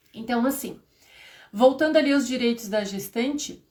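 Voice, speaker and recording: A plain, everyday voice with lively intonation. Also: woman. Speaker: HR and payroll instructor. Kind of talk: live stream lecture. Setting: live stream.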